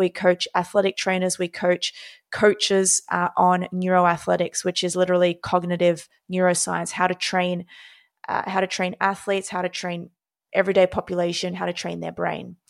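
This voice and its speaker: Heard with a dry, close sound and no echo, a woman with an Australian accent speaks in a monotone, flat intonation. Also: medium pitch for a woman, moderate pace. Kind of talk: interview conversation. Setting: video call.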